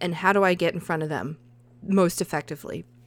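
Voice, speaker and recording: On a very clean recording with a silent background, a woman in a Southern US accent speaks at a fairly quick pace and a medium pitch. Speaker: podcast host and freelance writer. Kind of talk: casual solo podcast monologue. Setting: home recording. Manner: chatty, laughs often.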